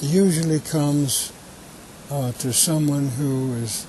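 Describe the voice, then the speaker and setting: A man with a fairly high pitch and ordinary pitch variation, against noticeable background noise. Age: 80s+. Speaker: conservationist. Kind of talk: interview answer. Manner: hesitant.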